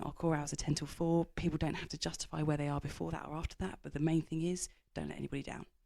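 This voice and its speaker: A woman with a very deep, low pitch talks at a very fast pace. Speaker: business executive and author. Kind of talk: interview.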